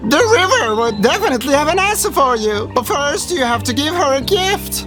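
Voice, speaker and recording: Loud music plays in the background as someone speaks in a put-on character voice at a fairly quick pace. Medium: read story. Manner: calm, solemn.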